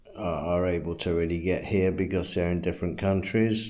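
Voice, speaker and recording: A man speaks with a British accent and ordinary pitch variation. Audible room echo can be heard. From England. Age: 70s. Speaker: retired expat vlogger. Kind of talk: casual vlog monologue. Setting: at home. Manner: halting, many fillers and repeats.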